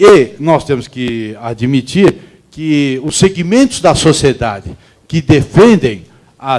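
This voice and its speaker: Here a man talks at a very slow pace. His voice is fairly high in pitch. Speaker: labor court judge, seminar speaker. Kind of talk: seminar talk.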